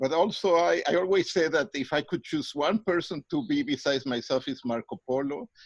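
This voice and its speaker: A man with a fairly high pitch speaks in a Mexican accent, with lively intonation and hardly any pauses. The sound is dry and close, with no echo. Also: fairly quick pace. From Mexico City, Mexico. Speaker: psychologist and professor. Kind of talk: interview.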